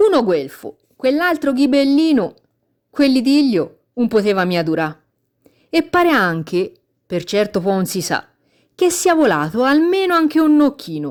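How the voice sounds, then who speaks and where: A woman with a high pitch and very wide pitch swings speaks at a fairly slow pace with long, frequent pauses, in a very clean recording over a silent background. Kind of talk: poetry reading.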